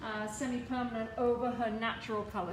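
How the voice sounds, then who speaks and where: Over noticeable background noise and audible room echo, a woman talks at a fairly high pitch. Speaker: hairdresser and educator. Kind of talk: tutorial. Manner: loud.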